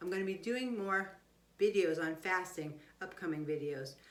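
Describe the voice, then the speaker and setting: A woman talks while audible room echo and noticeable background noise fill the recording. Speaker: health doctor giving nutrition advice. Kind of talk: casual health talk video to viewers.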